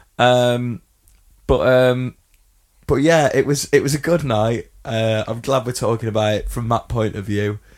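A man's medium-pitched voice in an English accent, fairly slow, with fairly even intonation. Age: 30s. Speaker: podcast co-host. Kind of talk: casual chat.

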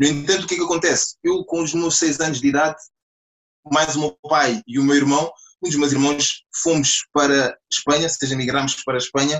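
A man's fairly high pitch, an ordinary speaking voice, fairly even intonation and a fairly quick pace. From Portugal, Lisbon area and Alentejo. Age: 20s. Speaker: entrepreneur, clothing brand founder. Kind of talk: podcast interview.

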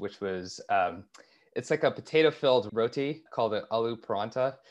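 Against a quiet background, a man talks at a fairly slow pace in an ordinary speaking voice. His pitch is medium, with ordinary pitch variation. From Canada, Toronto. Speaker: startup founder. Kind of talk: interview.

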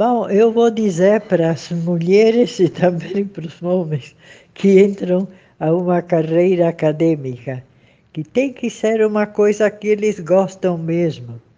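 Speaking at a very slow pace, a woman has a medium-pitched voice with a dark, mellow tone and ordinary pitch variation. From Brazil, São Paulo. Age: 80s+. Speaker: historian and anthropologist. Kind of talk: interview. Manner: halting.

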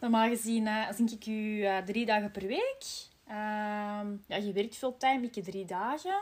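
This woman's voice is fairly high and somewhat breathy. She talks at a very slow pace with fairly even intonation. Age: 30s. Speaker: podcast host, marketing employee. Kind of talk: casual chat.

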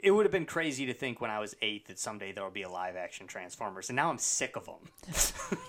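Bright and sharp in tone, a man at medium pitch speaks with very wide pitch swings. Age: 30s. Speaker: podcast host. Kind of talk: casual chat.

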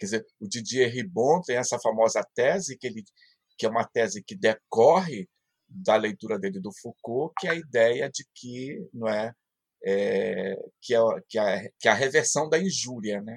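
A man with an unremarkable speaking voice talks at a medium pitch and a fairly slow pace, with lively intonation and big swings in loudness. The sound is dry and close, with no echo. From Brazil, Pará (Marajó island). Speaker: philosophy professor. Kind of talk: interview.

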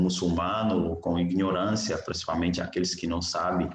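A man's very deep, low, somewhat breathy voice at a moderate pace, with fairly even intonation and audible room echo. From Niger. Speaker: missionary and graduate student. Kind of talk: interview, personal testimony.

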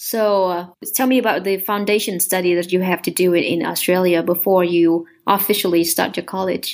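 On a very clean recording with a silent background, a woman with a Vietnamese accent talks at a moderate pace with hardly any pauses. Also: medium pitch for a woman, fairly even intonation. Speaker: podcast host. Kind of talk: interview.

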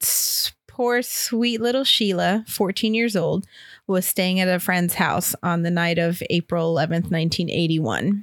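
In an unremarkable speaking voice, a woman talks at a fairly slow pace with a medium pitch, ordinary pitch variation and very even loudness, on a very clean recording with a silent background. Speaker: podcast host. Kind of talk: casual chat with scripted true-crime narration.

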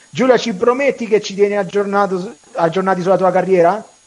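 There is noticeable background noise as a man speaks in an animated tone at a high pitch. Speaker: radio host. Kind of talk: casual chat. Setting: studio.

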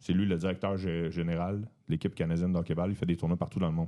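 Over a quiet background, a man talks very fast in a very deep, low voice with a dark, mellow tone. His intonation stays fairly even. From Quebec, Beauharnois near Montreal. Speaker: comedian and entrepreneur. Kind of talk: casual chat.

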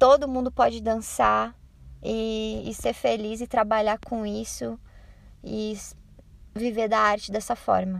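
A woman talks at a very slow pace. Long, frequent pauses break up her speech. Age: 20s. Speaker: dance teacher. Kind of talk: recorded voice-message answers.

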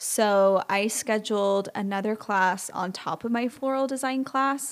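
This woman has a normal speaking voice with a fairly high pitch. She talks at a fairly slow pace with lively intonation. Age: 30s. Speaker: florist. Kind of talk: casual solo podcast monologue.

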